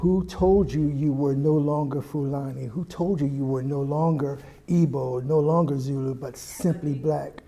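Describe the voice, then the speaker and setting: A man with a fairly high pitch and an American accent, fairly slow, with fairly even intonation and hardly any pauses, amid noticeable background noise and audible room echo. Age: 60s. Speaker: anti-racism educator. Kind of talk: panel discussion.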